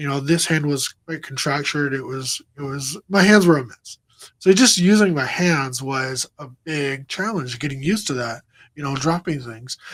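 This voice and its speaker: This man has a normal speaking voice, fairly high-pitched, with ordinary pitch variation and a moderate pace. His loudness swings widely, and the sound is dry and close with no echo. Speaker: crash survivor and motivational speaker. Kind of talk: interview testimony. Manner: repetitive, filler-heavy.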